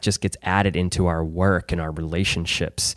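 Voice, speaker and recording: On a very clean recording with a silent background, a man with an American accent speaks at a moderate pace with fairly even intonation. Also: dry, close sound with no echo. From Chesterfield, Missouri, US Midwest. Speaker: podcast host. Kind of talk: interview.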